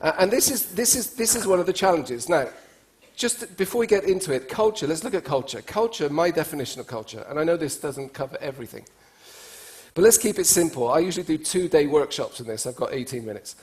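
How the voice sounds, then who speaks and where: Speaking at a very fast pace with an English accent, a man with a high pitch sounds animated and swings his pitch very widely. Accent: speaks English like an English speaker. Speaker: cross-cultural speaker and trainer. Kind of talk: conference talk to an audience. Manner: conversational, animated.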